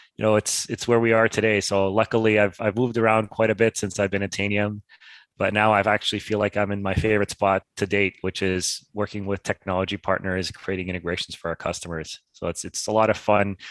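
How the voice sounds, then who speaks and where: Against a quiet background, a man with a slight Canadian accent talks very fast in a monotone, flat delivery with hardly any pauses, the sound dry and close with no echo. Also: fairly low pitch for a man. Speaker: tech company partnerships executive. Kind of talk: interview. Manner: halting, repeats words.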